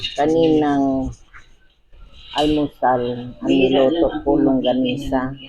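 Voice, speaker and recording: A soft-spoken woman with a very deep, low pitch speaks at a very slow pace in a monotone, flat way, with long, frequent pauses. Noticeable background noise is present. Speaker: vlogger. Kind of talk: casual cooking vlog.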